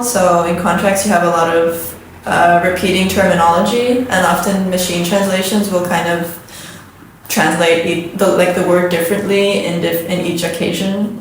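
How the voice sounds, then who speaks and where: A woman speaks at a moderate pace with an Estonian accent. Noticeable background noise and audible room echo fill the recording. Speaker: translator and interpreter. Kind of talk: casual interview.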